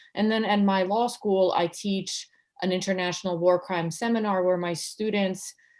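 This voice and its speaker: A woman speaks at medium pitch with a slight Serbian accent. Her pace is fairly quick and her pitch variation ordinary. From Serbia, former Yugoslavia. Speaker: law professor. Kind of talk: interview. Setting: video call.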